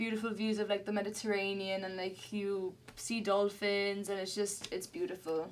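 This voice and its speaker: A woman's medium-pitched voice in a flat monotone. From Gibraltar. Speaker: singer-songwriter. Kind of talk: casual interview.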